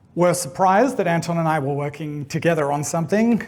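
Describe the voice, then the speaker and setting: With an Australian accent, a high-pitched man talks with lively intonation over noticeable background noise and audible room echo. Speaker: game developer. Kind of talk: conference talk.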